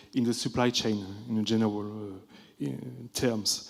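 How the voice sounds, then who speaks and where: A man with a French accent at a moderate pace. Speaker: think tank group moderator. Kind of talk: conference summary presentation.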